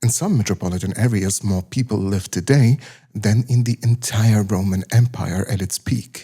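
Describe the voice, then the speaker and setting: A man with a German accent speaks in a fairly low, dark, mellow voice that is somewhat breathy. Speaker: science documentary narrator. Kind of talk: documentary narration.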